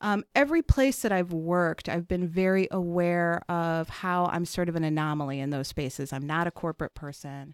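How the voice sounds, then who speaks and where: In a very clean recording with a silent background and a dry, close sound with no echo, a woman with an American accent uses an unremarkable speaking voice, fairly low in pitch with ordinary pitch variation, moving at a moderate pace with hardly any pauses. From Chicago, South Side. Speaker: foundation president. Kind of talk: interview conversation.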